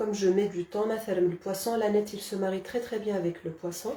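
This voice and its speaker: A woman speaks at a medium pitch with a Kabyle accent. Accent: Kabyle village. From Algeria, Kabylie. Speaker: cooking channel host. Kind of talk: live cooking demonstration. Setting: Facebook live stream. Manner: hesitant, many fillers.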